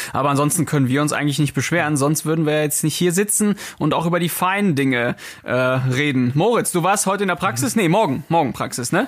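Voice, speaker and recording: A man with an unremarkable speaking voice, fairly high-pitched, at a fairly quick pace. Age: 30s. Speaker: intensive care nurse, podcast host. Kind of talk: casual chat.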